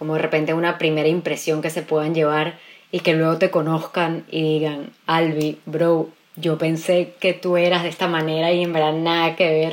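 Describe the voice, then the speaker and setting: Her voice is fairly low, and the woman speaks in a monotone, flat intonation at a moderate pace. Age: 20s. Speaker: radio host. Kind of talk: casual chat.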